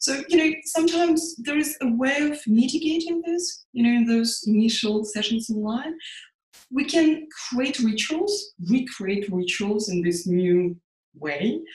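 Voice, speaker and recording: A woman speaks in a Russian accent at a high pitch. Her pitch swings very widely. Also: fairly slow pace. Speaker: psychotherapist. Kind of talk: interview.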